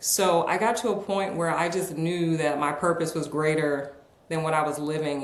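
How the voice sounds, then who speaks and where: Speaking fairly quickly with an American accent, a woman with a very deep, low pitch keeps her intonation fairly even amid audible room echo and noticeable background noise. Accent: American, slight Southern words. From New York, then North Carolina. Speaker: author and executive coach. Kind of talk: podcast interview.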